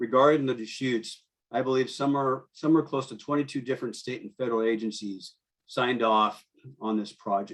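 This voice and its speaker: This man has an unremarkable speaking voice with an American accent and medium pitch. He talks at a fairly quick pace with fairly even intonation. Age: 60s. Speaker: fishing guide. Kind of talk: public comment testimony.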